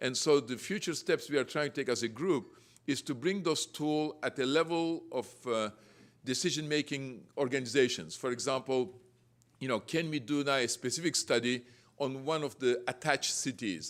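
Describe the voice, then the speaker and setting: Over a very clean recording with a silent background, a man with a non-native accent talks at a moderate pace, with a medium pitch and ordinary pitch variation. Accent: foreign. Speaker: real estate developer and panelist. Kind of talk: panel presentation. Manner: halting, with fillers and self-corrections.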